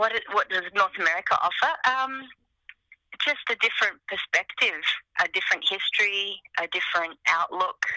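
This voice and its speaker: With an Australian accent, a woman speaks at a moderate pace and a fairly high pitch, her intonation lively and her loudness very even. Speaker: singer-songwriter. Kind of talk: interview.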